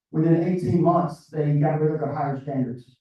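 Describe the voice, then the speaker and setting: A somewhat breathy man speaks with an American accent and fairly even intonation. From US South, South Georgia. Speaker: floodplain consultant. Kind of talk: interview.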